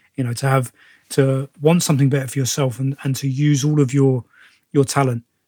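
Somewhat breathy, a man with a British accent speaks in a monotone, flat intonation with a dry, close sound with no echo. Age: 30s. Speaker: podcast host, actor and personal trainer. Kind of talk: casual interview chat.

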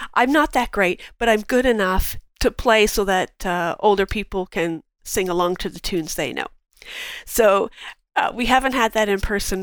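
A normal speaking voice from a woman with a Canadian accent, medium in pitch, fairly quick, with ordinary pitch variation. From southern Ontario, Canada. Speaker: market researcher. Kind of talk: casual interview chat.

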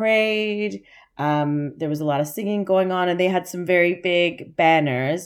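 With a Canadian accent, a woman talks in a plain, everyday voice, her fairly low pitch showing ordinary variation. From Canada. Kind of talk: casual interview chat.

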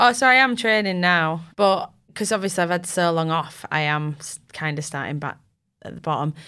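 Over a very clean recording with a silent background, a woman with a Yorkshire accent speaks at a fairly quick pace in a bright, sharp tone, her pitch fairly low, her intonation lively and her loudness swinging widely. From Yorkshire, England (Bramham, near Tadcaster). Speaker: triathlete. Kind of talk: casual interview chat. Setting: studio.

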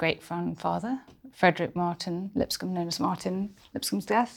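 This woman has a southern English accent and a fairly low pitch. The recording is very clean, with a silent background. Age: 40s. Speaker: historian and podcast host. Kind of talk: casual chat. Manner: animated.

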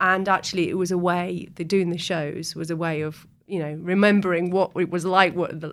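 A woman in a Yorkshire accent, fairly low in pitch, fairly quick, monotone and flat. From North Yorkshire, Ripon. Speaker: festival founder and organiser. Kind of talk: casual interview chat.

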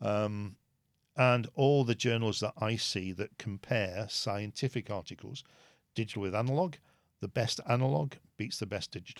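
On a very clean recording with a silent background, a man speaks with a British accent at a fairly low pitch. His pace is moderate, his pitch variation ordinary, and the sound dry and close with no echo. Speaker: dentist and dental educator. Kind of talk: interview.

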